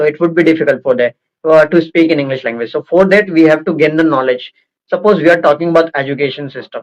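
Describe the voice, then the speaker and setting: A man's very fast speech with an Indian accent, fairly high in pitch, with fairly even intonation. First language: Hindi. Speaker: interviewer, English-speaking channel host. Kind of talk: casual interview conversation. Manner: halting, many fillers.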